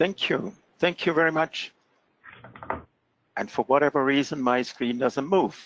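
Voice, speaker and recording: Fairly high-pitched male speech with a non-native accent, a fairly slow pace, long and frequent pauses, and a dry, close sound with no echo. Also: ordinary pitch variation. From Switzerland. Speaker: fraud prevention expert presenter. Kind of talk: presentation. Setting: webinar call.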